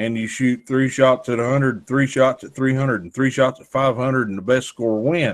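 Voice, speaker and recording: A man speaks at a moderate pace, with hardly any pauses. His loudness swings widely. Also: medium pitch for a man, fairly even intonation. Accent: Southern US. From North Carolina. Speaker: gun store owner. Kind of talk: casual chat. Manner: halting.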